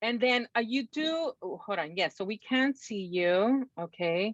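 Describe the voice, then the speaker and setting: A woman's high, bright, sharp voice with a Salvadoran accent and very wide pitch swings, dry and close with no echo, over a quiet background. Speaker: poetry event host. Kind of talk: event hosting introductions.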